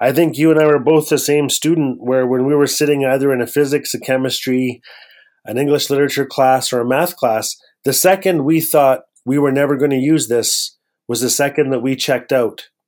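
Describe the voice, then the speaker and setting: On a very clean recording with a silent background, a man with a Canadian accent speaks at a moderate pace in a fairly high voice. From Northwest Territories, Canada. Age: 40s. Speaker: author and storyteller. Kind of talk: interview. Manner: animated.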